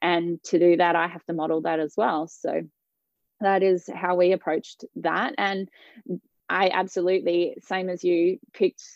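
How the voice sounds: In a dry, close sound with no echo, a woman with a slightly mellow tone and vocal fry speaks at a fairly slow pace and a fairly low pitch, with little pitch movement.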